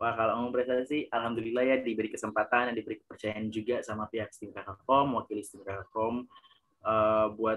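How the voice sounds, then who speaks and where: The pitch is in the medium range. It comes from a man's voice. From Ambon, Maluku, Indonesia. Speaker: award-winning university student. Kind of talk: casual interview.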